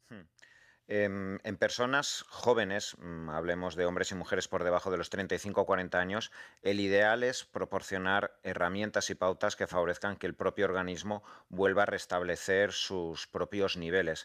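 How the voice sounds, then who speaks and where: A man with an unremarkable speaking voice talks at a fairly slow pace and fairly low pitch, his intonation fairly even, over a quiet background. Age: 40s. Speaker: doctor and author. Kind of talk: radio interview.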